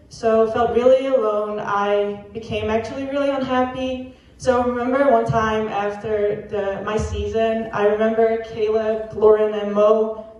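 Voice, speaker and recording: Monotone, flat intonation comes through noticeable background noise and audible room echo. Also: woman, fairly high pitch for a woman, moderate pace. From Netherlands. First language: Dutch. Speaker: college athlete. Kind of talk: testimony.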